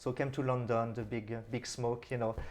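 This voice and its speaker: Speaking with a slight French accent, a man holds a medium pitch in a monotone, flat delivery. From France. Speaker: florist, business owner. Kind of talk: radio interview.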